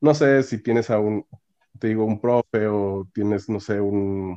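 In a dry, close recording with no echo, a man speaks at a medium pitch with a dark, mellow tone and fairly even intonation. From northern Mexico (Monclova, Coahuila; Monterrey). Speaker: mechatronics engineer. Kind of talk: interview. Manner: halting, frequent fillers and repetitions.

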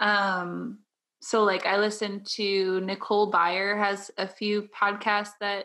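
Her tone bright and sharp, a woman talks with a Midwestern American accent. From Southern Illinois. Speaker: podcast host, graphic designer. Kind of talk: casual chat.

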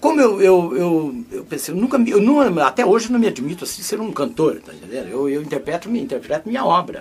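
Noticeable background noise sits behind the voice. A high-pitched man talks at a fairly quick pace, his pitch swinging very widely. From northern Paraná, Brazil. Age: 70s. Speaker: musician. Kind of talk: casual interview. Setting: studio.

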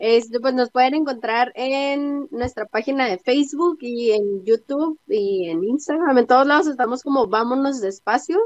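The sound is dry and close with no echo as a woman talks in a high pitch. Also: hardly any pauses. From Tijuana, Mexico. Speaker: podcast host. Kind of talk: casual chat. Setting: remote recording.

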